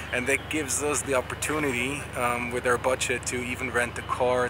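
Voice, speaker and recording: The sound is dry with no echo as a man talks over noticeable background noise. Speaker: sailing vlogger. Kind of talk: casual vlog chat. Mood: cheerful, pleased. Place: street. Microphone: phone near.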